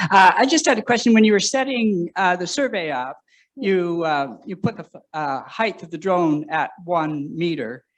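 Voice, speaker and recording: With a high voice, a man talks at a moderate pace, his pitch swinging very widely and his loudness shifting sharply. The background is quiet. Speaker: audience member at symposium. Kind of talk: Q&A question.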